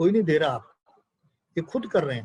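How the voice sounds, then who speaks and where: Lively in intonation, a man's voice comes across somewhat breathy. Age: 80s+. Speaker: spiritual speaker. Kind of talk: satsang talk.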